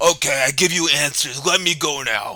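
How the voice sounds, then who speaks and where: A man does a raspy put-on character voice at a moderate pace. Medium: actual play. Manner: broken simple English.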